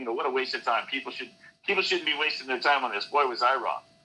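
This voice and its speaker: A man's medium-pitched voice with an American accent, very fast and with ordinary pitch variation, over music in the background. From US West Coast, San Francisco Bay Area. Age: 60s. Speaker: scientist, election integrity activist. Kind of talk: interview. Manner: halting, many fillers.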